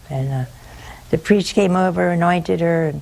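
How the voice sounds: A woman speaks at a moderate pace with a fairly low pitch and a slightly mellow tone. Her voice has vocal fry and ordinary pitch variation.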